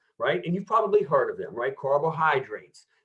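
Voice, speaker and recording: A man speaks with an American accent and lively intonation. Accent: American accent, noticeable to UK audience. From United States. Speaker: health expo presenter on nutrition. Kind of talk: presentation talk. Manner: enthusiastic, conversational with many fillers.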